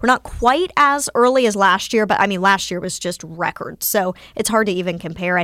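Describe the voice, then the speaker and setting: Speaking at a moderate pace, a woman with an American accent has a bright, sharp tone, medium pitch and ordinary pitch variation. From North Carolina, near Winston-Salem. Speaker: TV meteorologist. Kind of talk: casual interview.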